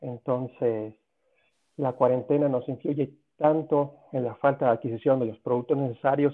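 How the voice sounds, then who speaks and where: A man speaks in an ordinary speaking voice. His pitch is fairly high and his pace fairly slow. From Cuba. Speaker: sports medicine doctor. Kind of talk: interview.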